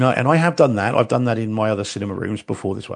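His accent is New Zealand. The man's pitch rises and falls in an ordinary way. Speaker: podcast co-host. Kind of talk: casual chat.

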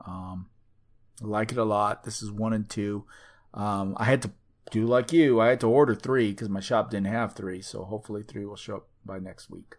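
A man with an unremarkable speaking voice talks at a moderate pace and fairly low pitch, his intonation fairly even but his loudness swinging widely, against a quiet background. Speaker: podcast host. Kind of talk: casual banter chat.

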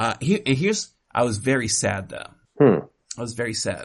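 The intonation is lively. The pace stays moderate. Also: man. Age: 40s. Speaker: podcast host. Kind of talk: casual chat.

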